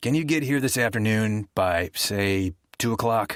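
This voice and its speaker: A man puts on a gravelly, raspy character voice at a medium pitch and moderate pace, with ordinary pitch variation and very even loudness, on a very clean recording with a silent background and a dry, close sound with no echo. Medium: read story. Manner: guarded, clipped.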